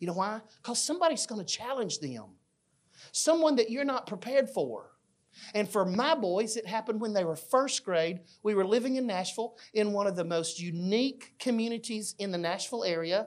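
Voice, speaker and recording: In an Alabama accent, a man talks at a fairly quick pace with lively intonation and a high pitch. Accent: Southern US (Alabama). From US South (Fayette, Alabama). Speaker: children's minister. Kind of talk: church class talk.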